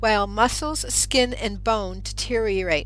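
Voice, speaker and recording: Music plays in the background as a woman talks at a fairly slow pace. Audible room echo colors the recording. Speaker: radio show host and author. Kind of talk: radio monologue; reading aloud from own book. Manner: occasional stutter.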